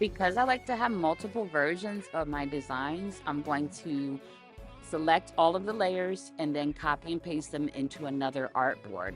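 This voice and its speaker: The speech moves at a moderate pace with very wide pitch swings. Music is playing in the background. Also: woman, very deep, low pitch for a woman. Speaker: graphic design tutorial maker. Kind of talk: software tutorial voice-over. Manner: casual, hesitant.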